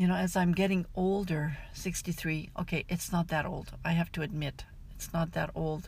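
Somewhat breathy and fairly low, a woman's voice moves at a moderate pace with monotone, flat intonation. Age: 60s. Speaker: life coach and podcast host. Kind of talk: scripted outro; solo podcast monologue.

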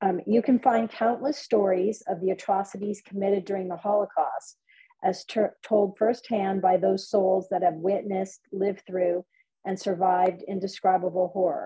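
Somewhat breathy, a woman speaks at a moderate pace, her medium pitch in fairly even intonation. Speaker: event moderator. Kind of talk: event moderation. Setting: video call.

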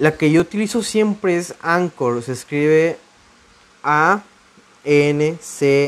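At a very slow pace, a man with a fairly high voice speaks with ordinary pitch variation. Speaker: podcast host. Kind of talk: casual monologue. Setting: home recording.

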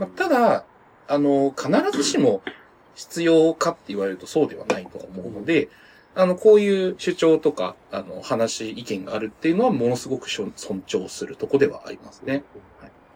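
A man's loudness swings widely as he keeps to a moderate pace. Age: 30s. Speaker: podcast co-host. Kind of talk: casual chat.

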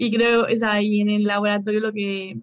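A woman talks at a medium pitch. She has a Spanish accent. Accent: Peninsular Spanish. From Spain. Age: 20s. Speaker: pharmaceutical researcher, PhD student. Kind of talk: interview. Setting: video call.

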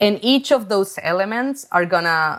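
A woman with a Spanish accent at a moderate pace, on a very clean recording with a silent background. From Chile. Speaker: artist. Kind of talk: interview.

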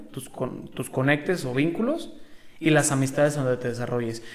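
A man with a Mexican accent speaks with ordinary pitch variation against noticeable background noise. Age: 20s. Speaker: sports rehabilitation graduate. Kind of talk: casual interview.

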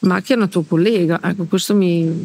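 At a moderate pace, a woman talks with monotone, flat intonation. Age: 60s. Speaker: former Ferrari mechanic. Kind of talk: casual interview. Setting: in person around a table.

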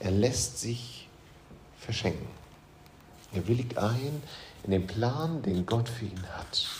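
Over noticeable background noise and audible room echo, a man of medium pitch speaks very slowly with long, frequent pauses and ordinary pitch variation. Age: 40s. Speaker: pastor. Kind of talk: sermon.

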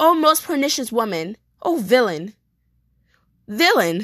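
A woman speaks against a quiet background. Her high voice swings very widely in pitch. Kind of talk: dramatic soliloquy, Shakespeare performed aloud. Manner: impassioned, anguished, declamatory, vowing intensely.

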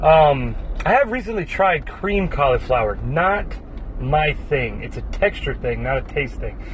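Over noticeable background noise and audible room echo, a man talks in an animated tone at a fairly slow pace. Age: 30s. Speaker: podcast host. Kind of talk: solo casual monologue.

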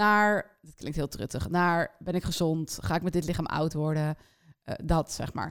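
A woman with a plain, everyday voice speaks at a fairly low pitch and a fairly slow pace. Her pitch shows ordinary variation, while her loudness swings widely. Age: 30s. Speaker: podcast co-host. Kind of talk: casual chat.

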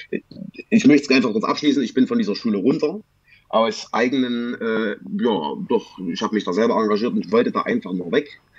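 A man's medium-pitched voice with very wide pitch swings at a fairly quick pace. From Saxony, Germany. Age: 20s. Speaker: former cannabis addict. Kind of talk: testimony. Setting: video call. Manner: halting.

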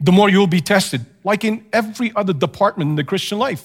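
In a very clean recording with a silent background, a man's voice swings very widely in pitch. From Canada. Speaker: missionary pastor. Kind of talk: sermon. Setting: church.

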